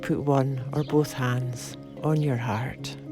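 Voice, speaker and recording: Very slow and soothing, a woman's calm tone sits at a very deep, low pitch with music in the background. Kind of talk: guided meditation. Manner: slow, soothing, calm.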